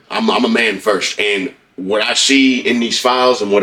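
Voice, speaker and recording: With an American accent, a man speaks at a medium pitch and with lively intonation. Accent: twang. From Oklahoma. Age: 30s. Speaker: rapper. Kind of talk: interview.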